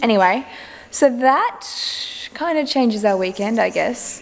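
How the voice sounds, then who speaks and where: A woman speaks at a moderate pace. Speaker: family vlogger. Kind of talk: casual vlog chat. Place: home room. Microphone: phone near.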